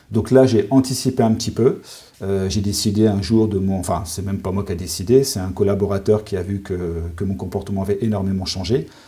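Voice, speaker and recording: At a fairly quick pace, a man talks in an ordinary speaking voice, fairly low in pitch with ordinary pitch variation. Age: 40s. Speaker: sophrologist and forest therapist. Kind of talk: interview.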